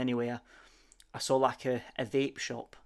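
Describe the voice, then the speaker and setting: A man with a Sheffield accent speaks at a fairly slow pace in a medium pitch. His intonation is monotone and flat, and the recording is very clean with a silent background. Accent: Yorkshire (Sheffield). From Sheffield, northern England. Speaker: motorcycle vlogger. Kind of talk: voice-over narration of ride video. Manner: halting, many fillers and repeats.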